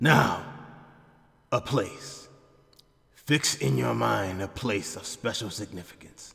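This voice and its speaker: Putting on a character voice, a man speaks at a fairly low pitch and a fairly slow pace, with very wide pitch swings and long, frequent pauses. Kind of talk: formal, archaic speech. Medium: machinima. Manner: solemn, measured, formal.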